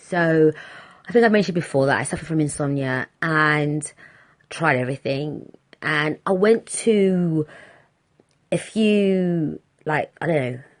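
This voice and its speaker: A woman with a British accent speaks at a fairly slow pace, her pitch very deep and low with ordinary pitch variation. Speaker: podcast host. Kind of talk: casual monologue.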